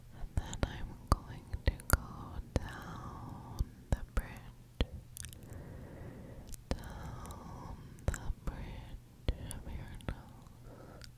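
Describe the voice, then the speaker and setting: Whispering and soft-spoken, a woman leaves long, frequent pauses. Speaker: ASMR creator. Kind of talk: soft ASMR guided talk. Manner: slow, soft close-mic whisper. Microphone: studio mic.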